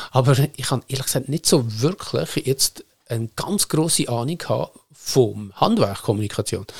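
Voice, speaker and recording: Somewhat breathy speech at a moderate pace, with lively intonation and a dry, close sound with no echo. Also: man, medium pitch for a man. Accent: Lucerne. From Switzerland, Lucerne area (Seetal). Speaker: media manager, former journalist. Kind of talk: casual chat.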